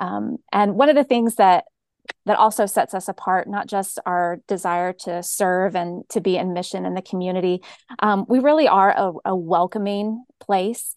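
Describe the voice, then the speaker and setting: In an American accent, a woman uses an ordinary speaking voice at medium pitch, with ordinary pitch variation and a moderate pace. The sound is dry and close with no echo, over a quiet background. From US South, Georgia (Cobb County). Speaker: pastor. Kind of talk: interview conversation.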